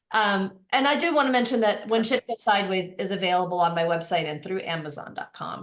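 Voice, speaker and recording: With a Boston accent, a woman talks at a fairly quick pace in a medium pitch with ordinary pitch variation. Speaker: life coach. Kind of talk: casual chat. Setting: podcast.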